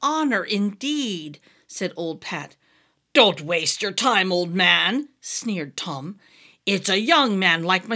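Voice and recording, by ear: A quiet background behind reading aloud in a natural voice, with lively intonation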